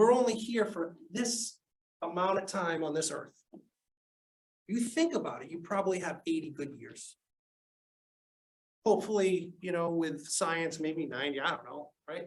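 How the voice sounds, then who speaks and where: The speaker talks at a moderate pace with a Boston accent. Long, frequent pauses break up the speech. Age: 40s. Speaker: sales professor. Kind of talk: lecture. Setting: classroom. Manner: animated.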